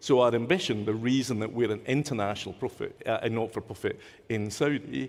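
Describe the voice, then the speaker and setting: Very fast in pace, a man with a Scottish accent speaks at a medium pitch with fairly even intonation. The recording is very clean, the background silent. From Scotland. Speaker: nonprofit leader, panelist. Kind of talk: panel discussion.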